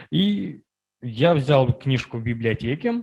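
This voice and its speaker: This man has a medium pitch and a somewhat breathy sound. His intonation is lively. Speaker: workshop participant. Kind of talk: personal story in group discussion.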